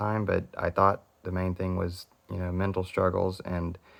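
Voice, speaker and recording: A man talks at a fairly quick pace with a fairly low pitch. The background is quiet. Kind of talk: casual talk to camera. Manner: deadpan.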